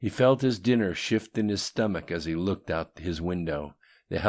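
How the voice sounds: The text comes across in a natural reading voice.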